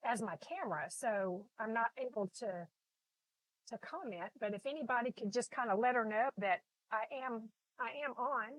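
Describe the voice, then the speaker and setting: A woman talks in a fairly high voice with lively intonation. Her speech has long, frequent pauses, and the sound is dry and close with no echo. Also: moderate pace. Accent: slight Texas. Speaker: artist teaching painting. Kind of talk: live painting tutorial. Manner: casual, many fillers and repetitions.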